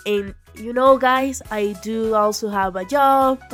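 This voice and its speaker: Music sits in the background behind a woman's voice. She speaks at a fairly high pitch with ordinary pitch variation. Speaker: gaming YouTuber. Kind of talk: casual gameplay commentary.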